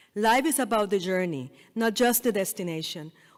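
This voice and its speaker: A woman with a Spanish accent on a very clean recording with a silent background. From Puerto Rico. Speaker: dental school dean, keynote speaker. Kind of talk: commencement speech. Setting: stage with audience.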